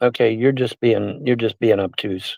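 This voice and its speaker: A man speaks at a moderate pace in an animated, angry tone. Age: 60s. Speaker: live streamer. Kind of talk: livestream rant reading chat. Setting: in a car.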